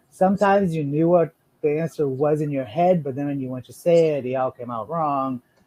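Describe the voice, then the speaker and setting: A man with a non-native accent speaks at a moderate pace in a fairly high pitch, his dark, mellow tone showing ordinary pitch variation in a dry, close sound with no echo. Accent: foreign accent in English. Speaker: financial advisor. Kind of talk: podcast interview.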